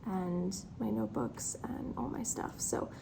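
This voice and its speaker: A woman's voice with audible room echo. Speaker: writer vlogger. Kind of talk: casual vlog chat. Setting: library conference room. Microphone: echoey room.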